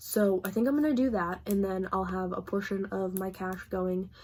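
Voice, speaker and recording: Her voice is somewhat breathy, dark and mellow in tone, and the woman's pitch varies in an ordinary way. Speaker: book vlogger. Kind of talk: casual vlog talk to camera. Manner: fast.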